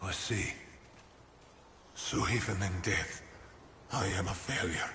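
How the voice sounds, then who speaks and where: Raspy and put-on, a man's character voice sits at a very deep, low pitch at a fairly slow pace, with clear background noise and clear echo. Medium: game stream. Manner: solemn, formal.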